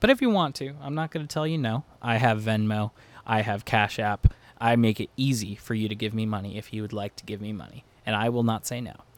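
Recorded very cleanly against a silent background, a man with an American accent and an unremarkable speaking voice talks at a medium pitch, with ordinary pitch variation and big swings in loudness. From Pennsylvania (Lebanon). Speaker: podcast host. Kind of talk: solo casual monologue. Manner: chatty with many fillers.

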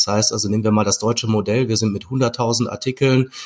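A man talks at a medium pitch with fairly even intonation and a somewhat breathy sound. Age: 40s. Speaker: e-commerce executive. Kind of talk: interview. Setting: video call.

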